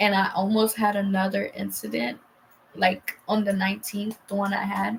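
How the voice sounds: A woman speaks at a moderate pace with medium pitch and little pitch movement. Her voice carries vocal fry and a slightly husky edge.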